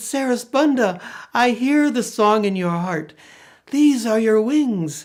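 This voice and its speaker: A put-on character voice, raised and projected, moves at a fairly slow pace. The recording is very clean with a silent background. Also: female-sounding voice, fairly high pitch for a woman. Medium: read story.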